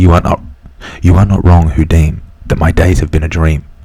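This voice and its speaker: Over noticeable background noise, a man speaks at a moderate pace in a very deep, low voice. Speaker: ASMR creator. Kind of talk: whispered poem reading.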